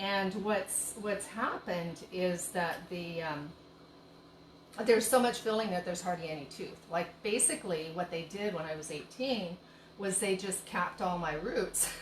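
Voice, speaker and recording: A woman's medium-pitched voice moves at a moderate pace with ordinary pitch variation. Audible room echo and noticeable background noise are present. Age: 60s. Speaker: tea shop owner and cooking host. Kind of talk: live-stream cooking demo and casual chat. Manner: chatty, rambling with many fillers.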